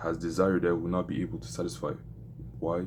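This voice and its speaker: This man has a French accent and a very deep, low pitch. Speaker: vlogger documenting a business journey. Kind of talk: casual vlog with Bible reading. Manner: halting, self-correcting.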